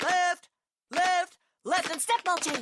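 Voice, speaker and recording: A put-on character voice pitched extremely high delivers the lines. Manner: barking, commanding.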